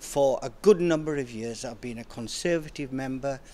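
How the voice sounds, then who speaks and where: Recorded very cleanly against a silent background, a man uses an ordinary speaking voice at a medium pitch, with ordinary pitch variation and a moderate pace. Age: 60s. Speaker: politician. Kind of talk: interview.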